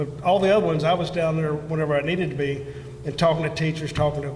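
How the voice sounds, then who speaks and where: Talking at a very fast pace, a fairly high-pitched man is heard with noticeable background noise and audible room echo. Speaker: school board candidate. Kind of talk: candidate forum answer. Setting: event hall with audience. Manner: halting; loud.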